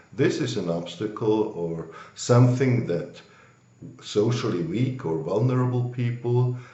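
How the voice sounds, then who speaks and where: The man speaks at a fairly slow pace and a medium pitch. Noticeable background noise and audible room echo surround him. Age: 60s. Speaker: banker. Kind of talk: interview.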